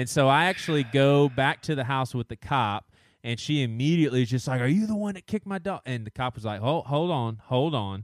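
Speaking with a Southern US accent, a man keeps a fairly quick pace. His medium-pitched voice runs on with hardly any pauses. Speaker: podcast co-host. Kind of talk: casual chat.

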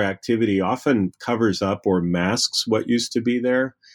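Recorded very cleanly with a silent background, a plain, everyday voice moves at a fairly slow pace with ordinary pitch variation and a dry, close sound with no echo. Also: man. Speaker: history professor. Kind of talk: interview.

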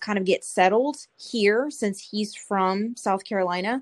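With an American accent, a woman talks in an ordinary speaking voice at medium pitch. Her intonation is fairly even, her pace moderate, and the background quiet. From California. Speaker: Navy veteran and coffee business owner. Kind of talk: casual interview chat.

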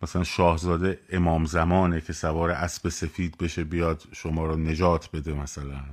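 On a very clean recording with a silent background, a man with a very deep, low pitch speaks at a moderate pace with hardly any pauses. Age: 40s. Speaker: political commentator. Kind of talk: live stream monologue. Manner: animated.

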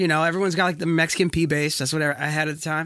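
This man has a fairly high pitch. His tone is bright and sharp. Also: very clean recording, silent background. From US South, Wilmington, North Carolina. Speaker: session musician. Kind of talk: casual chat.

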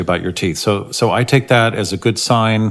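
This man has an unremarkable speaking voice, pitched fairly low for a man, and talks at a fairly slow pace. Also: very clean recording, silent background. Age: 60s. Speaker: dentist. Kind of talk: casual explanatory podcast talk.

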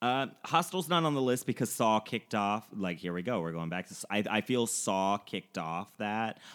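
An ordinary speaking voice from a man, fairly low in pitch, with lively intonation at a moderate pace, in a very clean recording with a silent background. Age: 30s. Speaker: horror film podcast host. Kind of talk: casual chat.

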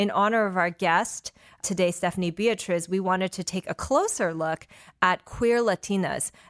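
A normal speaking voice from a woman, medium in pitch, at a moderate pace with fairly even intonation, dry and close with no echo. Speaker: podcast host. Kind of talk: interview podcast conversation.

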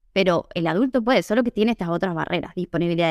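A woman speaks at a fairly low pitch with ordinary pitch variation, in a plain, everyday voice. The sound is dry and close, with no echo. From Argentina, Tucumán. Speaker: Italian teacher and translator. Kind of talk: interview.

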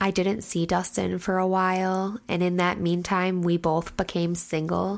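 A woman with an Upper Midwest accent speaks at a medium pitch and a fairly slow pace. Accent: Upper Midwest (Minnesota). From central Minnesota. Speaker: hairstylist, host's wife. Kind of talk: casual chat.

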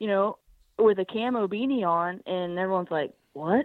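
A woman in a Southern US accent with ordinary pitch variation and a moderate pace. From US South, Birmingham, Alabama. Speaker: hunter. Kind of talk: casual interview. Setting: phone call.

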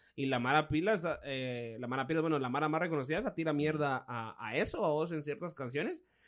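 A man rushes along at a very fast pace with hardly any pauses, his pitch fairly high and its variation ordinary. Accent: Guatemalan. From Guatemala. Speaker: podcast co-host. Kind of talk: casual chat.

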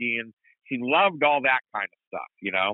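With an American accent, the speaker uses a normal speaking voice at a moderate pace with lively intonation. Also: man. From US Midwest. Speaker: motorsport announcer and racing league owner. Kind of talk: casual interview chat.

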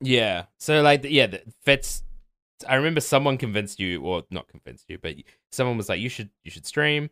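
A man talks with lively intonation, vocal fry and a bright, sharp tone, his loudness swinging widely. The recording is very clean with a silent background and a dry, close sound with no echo. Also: medium pitch for a man, fairly quick pace. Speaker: podcaster. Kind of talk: casual chat.

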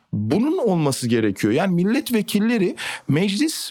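This man has a high voice. He talks at a fairly quick pace. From Turkey. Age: 20s. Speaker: politician. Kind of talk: interview.

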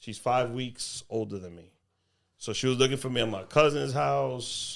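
Speaking in a Spanish accent, a man keeps a moderate pace with ordinary pitch variation. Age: 30s. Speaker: comedian and podcaster. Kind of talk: casual chat.

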